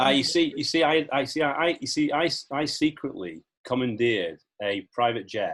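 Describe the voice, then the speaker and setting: A man with vocal fry and a fairly high pitch speaks at a moderate pace with lively intonation. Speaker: podcast host. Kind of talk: casual podcast interview talk.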